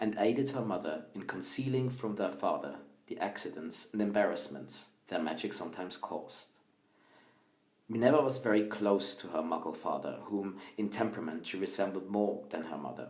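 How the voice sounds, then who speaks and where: Here is a man with a Swiss accent and a fairly low pitch. His intonation is lively. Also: moderate pace. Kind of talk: audiobook-style story reading.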